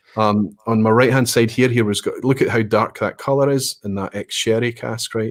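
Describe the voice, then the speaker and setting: In a very clean recording with a silent background, a man with a Scottish accent speaks at a fairly quick pace, fairly low in pitch, with fairly even intonation. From Scotland. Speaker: whisky educator. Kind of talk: live stream conversation.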